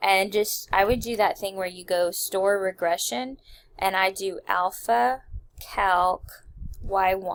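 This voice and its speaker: This woman talks at a very slow pace. Her pitch is medium, with ordinary variation. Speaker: math teacher. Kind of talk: tutorial. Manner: casual, filler-heavy.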